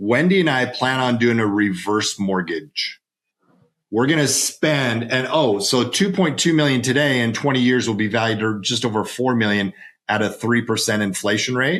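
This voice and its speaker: Speaking at a moderate pace, a man uses an ordinary speaking voice at a medium pitch, with ordinary pitch variation and very even loudness. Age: 50s. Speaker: financial advisor and author. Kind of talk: podcast interview. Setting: home office.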